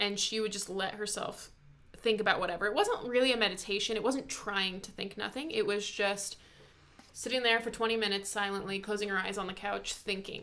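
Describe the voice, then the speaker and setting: A woman at medium pitch and a fairly quick pace, fairly even in intonation, amid noticeable background noise and audible room echo. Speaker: YouTuber discussing personality types. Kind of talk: casual chat. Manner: fast.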